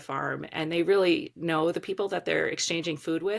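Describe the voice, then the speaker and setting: Fairly low-pitched woman with an American accent and a normal speaking voice, at a fairly quick pace, on a very clean recording with a silent background. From Baltimore, Maryland, US. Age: 40s. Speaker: organic farmer and advocate. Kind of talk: podcast interview.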